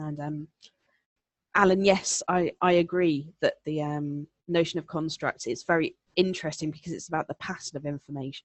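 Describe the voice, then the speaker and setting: A woman's very deep, low voice at a moderate pace, with monotone, flat intonation and big swings in loudness. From southeast England. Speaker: elearning presenter. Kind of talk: webinar presentation answering questions. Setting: online webinar. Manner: conversational with many fillers.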